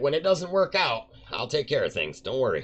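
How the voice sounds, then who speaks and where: Using a put-on character voice, a man speaks at a fairly quick pace with a high pitch. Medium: actual play.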